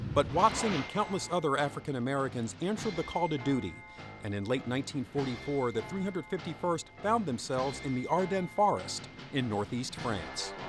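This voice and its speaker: Over music in the background, a man with a fairly high pitch speaks at a fairly quick pace with very wide pitch swings. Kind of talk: documentary narration.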